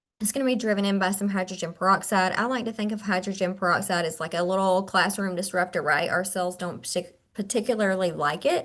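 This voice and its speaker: In a quiet background, a woman speaks at a fairly quick pace and medium pitch, her bright, sharp tone carrying fairly even intonation. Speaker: skincare clinician and trainer. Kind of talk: webinar product presentation. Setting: video call webinar.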